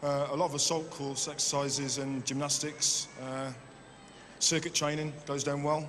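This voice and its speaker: A man's fairly high voice with a West Midlands accent, flat and monotone at a moderate pace, with audible room echo and noticeable background noise. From West Midlands, Kidderminster. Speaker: game show contestant, army fitness instructor. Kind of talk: game show interview. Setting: indoor arena with audience.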